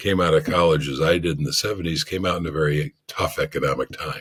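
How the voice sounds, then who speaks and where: A man with a very deep, low pitch and a somewhat breathy voice makes very wide pitch swings, recorded very cleanly against a silent background. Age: 70s. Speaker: author and financial blogger. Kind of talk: interview.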